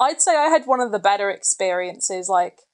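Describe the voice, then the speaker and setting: With an unremarkable speaking voice, a woman uses lively intonation, a medium pitch and a moderate pace. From England then Canada from age 12. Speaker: hospitality worker and student on a visa. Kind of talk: casual interview.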